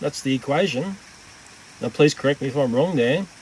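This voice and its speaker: Over noticeable background noise, a man with an Australian accent speaks at a fairly high pitch with ordinary pitch variation. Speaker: tech YouTuber. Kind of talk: casual vlog narration.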